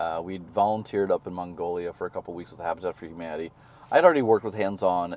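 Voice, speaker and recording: A man with an American accent, fairly low-pitched, with ordinary pitch variation and a very fast pace. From US Midwest (Missouri). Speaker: sustainability consultant and charity founder. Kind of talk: interview. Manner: animated.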